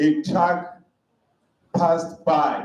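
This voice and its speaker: A man's high-pitched voice with audible room echo. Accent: non-native. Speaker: conference speaker. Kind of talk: conference talk. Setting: hall with live audience.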